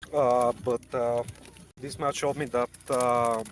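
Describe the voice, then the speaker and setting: A man with a Bulgarian accent, very slow and monotone, his intonation flat. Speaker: esports team player. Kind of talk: interview. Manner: halting.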